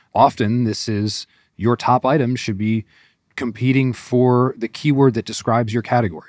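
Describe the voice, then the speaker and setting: A man with an American accent talks at a moderate pace and medium pitch, his intonation fairly even. It is an unremarkable speaking voice. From US Northeast. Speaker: e-commerce strategy executive. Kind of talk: podcast interview.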